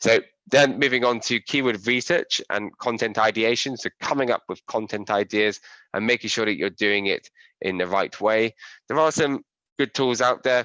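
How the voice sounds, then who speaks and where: A bright, sharp tone in an English accent at a moderate pace, with ordinary pitch variation and a dry, close sound with no echo against a quiet background. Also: man, medium pitch for a man. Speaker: SEO and digital marketing trainer. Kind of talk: webinar tutorial.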